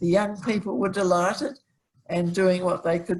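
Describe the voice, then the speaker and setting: Somewhat breathy delivery with an Australian accent. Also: woman. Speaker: early community member. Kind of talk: oral history recollection. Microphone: sound problem.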